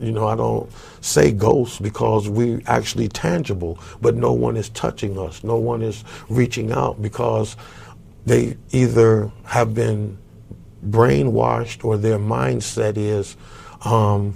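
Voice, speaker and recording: Speaking very slowly with lively intonation, a man uses a fairly low, dark, mellow voice that is somewhat breathy. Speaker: community activist. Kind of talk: interview. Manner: animated.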